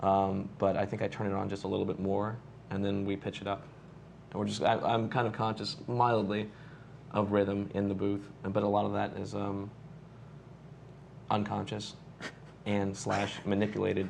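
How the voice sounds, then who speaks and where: Audible room echo surrounds a man's fairly low, monotone and flat voice, broken by long, frequent pauses. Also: moderate pace. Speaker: voice actor. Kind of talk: casual chat.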